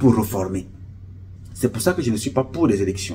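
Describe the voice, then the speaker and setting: A somewhat breathy male voice with very wide pitch swings. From Cameroon, Centre region (Beti). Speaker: activist and charity founder; political commentator. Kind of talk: political monologue. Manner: impassioned. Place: home room. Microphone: phone near.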